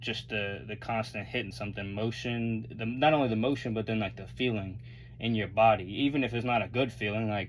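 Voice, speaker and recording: There is audible room echo as a man speaks at a medium pitch with fairly even intonation. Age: 20s. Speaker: vlogger. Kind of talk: casual monologue. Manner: rambling, halting with false starts.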